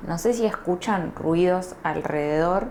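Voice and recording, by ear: A woman with an Argentine accent, fairly low in pitch with a slightly mellow tone, ordinary pitch variation and a fairly slow pace.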